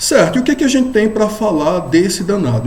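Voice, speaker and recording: A man is speaking. Audible room echo and noticeable background noise accompany his voice. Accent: northeastern Brazilian. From Brazilian Northeast. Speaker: law professor. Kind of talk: lecture. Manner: casual, with frequent fillers.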